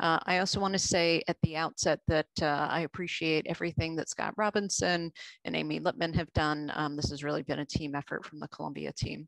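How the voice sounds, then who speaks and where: A woman's very deep, low voice at a fairly quick pace with hardly any pauses and fairly even intonation, dry with no echo against a quiet background. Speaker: presenter. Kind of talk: lecture. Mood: warm, appreciative. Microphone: video call.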